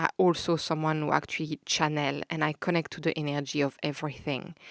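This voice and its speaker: A woman speaks in a very deep, low voice with flat, monotone intonation. The sound is dry and close, without echo. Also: very clean recording, silent background. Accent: Belgian French. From Belgium. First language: French. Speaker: podcast host, holistic counsellor. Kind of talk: spiritual podcast monologue. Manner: casual with hesitations and filler; warm, gentle.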